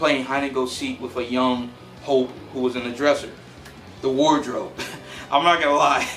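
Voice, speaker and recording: Through noticeable background noise and audible room echo, a man at a medium pitch talks in an animated tone. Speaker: movie reviewer YouTuber. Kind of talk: casual movie review vlog. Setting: home recording on camera. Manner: casual, animated.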